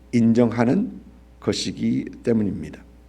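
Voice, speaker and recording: With audible room echo, a man speaks at a medium pitch in a dark, mellow tone with vocal fry and very wide pitch swings. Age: 60s. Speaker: pastor. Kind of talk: sermon. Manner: halting, many fillers.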